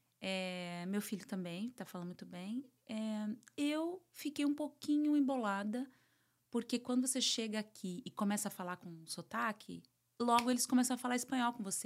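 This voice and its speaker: A woman's unremarkable speaking voice, fairly high in pitch, with lively intonation at a moderate pace. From Brazil. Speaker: psychoanalyst and therapist. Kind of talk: interview, casual chat.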